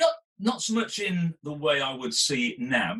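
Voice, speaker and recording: The voice moves at a fairly slow pace with vocal fry and very wide pitch swings. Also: man. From northern England, Salford. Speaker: sports executive. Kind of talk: interview. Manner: halting.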